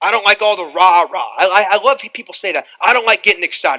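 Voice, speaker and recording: A man uses a raised, projected voice. The sound is dry and close, with no echo. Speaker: motivational speaker. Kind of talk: motivational seminar talk. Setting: stage with live audience. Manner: loud, high-energy.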